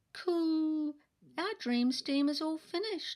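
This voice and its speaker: A woman puts on a squeaky character voice at an extremely high pitch. She talks at a fairly slow pace. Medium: read story. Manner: cooing.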